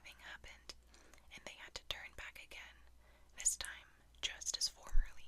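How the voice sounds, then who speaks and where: The speaker whispers in a calm tone at a moderate pace. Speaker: storyteller. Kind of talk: ASMR bedtime fairytale reading. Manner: calm, soft-spoken.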